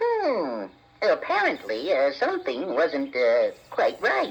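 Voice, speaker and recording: Put-on character voice, fairly slow in pace. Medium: audio drama. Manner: halting, stammering.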